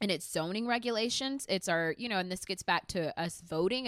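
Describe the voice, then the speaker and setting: Her voice plain and everyday, a woman with an American accent speaks at a medium pitch with lively intonation, the sound dry and close with no echo on a very clean recording with a silent background. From Mesquite, Texas. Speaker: anti-racism activist. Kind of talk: casual chat.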